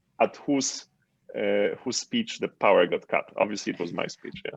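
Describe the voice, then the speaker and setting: A man with a Polish accent speaks at a fairly quick pace. The sound is dry and close with no echo, over a quiet background. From Poland. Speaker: entrepreneur and author. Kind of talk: interview.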